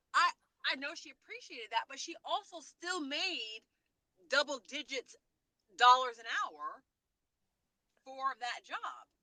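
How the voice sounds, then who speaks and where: A woman uses a raised, projected voice at high pitch, with very wide pitch swings and big swings in loudness. She goes at a fairly slow pace with long, frequent pauses, in a dry, close sound with no echo. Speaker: podcast co-host. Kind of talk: casual chat. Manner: animated.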